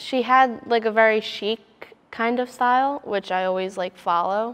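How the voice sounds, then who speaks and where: Speaking with an American accent at a moderate pace, a woman with a plain, everyday voice holds a fairly high pitch and ordinary pitch variation. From US Northeast, suburban Philadelphia. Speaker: fashion design student. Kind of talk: interview. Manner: casual, filler-heavy.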